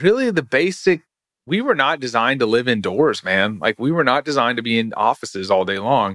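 In an American accent, an unremarkable speaking voice moves at a fairly quick pace with lively intonation. The recording is very clean with a silent background and a dry, close sound with no echo. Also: man, medium pitch for a man. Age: 40s. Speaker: sports scientist. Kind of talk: casual chat.

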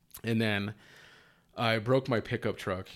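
With an American accent, a man speaks. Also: very clean recording, silent background. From Utah, Salt Lake City. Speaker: youtuber, coworker of host. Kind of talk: casual chat.

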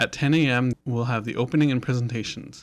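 A man with a normal speaking voice talks at a medium pitch with fairly even intonation on a very clean recording with a silent background. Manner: slightly flustered and giggly, laughs at own slips while reading announcements.

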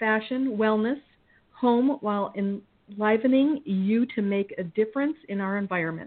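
Here is a woman with an ordinary speaking voice, fairly high in pitch. Her pitch varies in an ordinary way and her pace is moderate. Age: 50s. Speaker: chef and podcast host. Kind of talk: casual interview.

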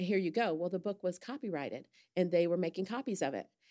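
A woman with an American accent, a normal speaking voice, medium pitch, lively intonation and a fairly quick pace, on a very clean recording with a silent background. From Indiana, US Midwest. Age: 60s. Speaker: church member. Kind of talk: casual chat.

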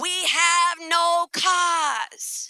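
Extremely high pitch in a put-on character voice.

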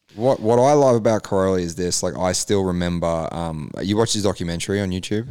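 In an Australian accent, a man rushes along at a very fast pace with hardly any pauses, his very deep, low pitch carrying a dark, mellow tone and ordinary pitch variation. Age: 30s. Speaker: motocross podcast host. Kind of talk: casual chat.

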